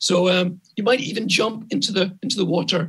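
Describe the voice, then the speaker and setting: A man with a Scottish accent speaks at a high pitch. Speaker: architect and urban planner. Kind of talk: conference lecture. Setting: conference talk.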